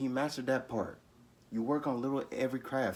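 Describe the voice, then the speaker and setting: At a moderate pace and medium pitch, a man speaks in a passionate tone. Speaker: YouTuber giving life advice. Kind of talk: motivational talk to camera. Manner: passionate, stumbles over words.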